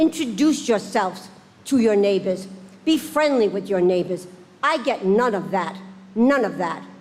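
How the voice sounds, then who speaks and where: A woman speaks fairly slowly, her fairly high voice full of lively intonation. Noticeable background noise runs beneath her. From Rhode Island. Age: 70s. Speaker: resident speaking at public hearing. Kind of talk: public comment testimony. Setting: town council meeting.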